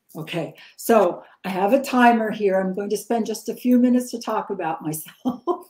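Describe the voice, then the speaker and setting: Somewhat breathy at a fairly high pitch, a woman speaks at a moderate pace with lively intonation. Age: 70s. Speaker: spiritual teacher, energy technique originator. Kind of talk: interpreted live interview talk. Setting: live stream with interpreter. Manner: short phrases paused for interpreter.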